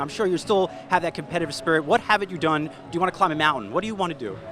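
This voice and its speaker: Over noticeable background noise, a man with a high pitch speaks very fast in an upbeat tone with lively intonation. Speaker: financial news interviewer. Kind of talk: interview questions. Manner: upbeat, casual.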